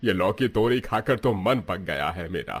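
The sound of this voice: Using a put-on character voice, a man speaks at a fairly slow pace in a low voice with a slightly husky edge and lively intonation.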